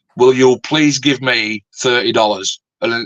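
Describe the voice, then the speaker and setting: The sound is dry and close, with no echo. A man speaks very slowly at a medium pitch with fairly even intonation. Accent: Yorkshire. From Yorkshire, northern England. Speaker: scale modeler and YouTuber. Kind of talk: casual chat.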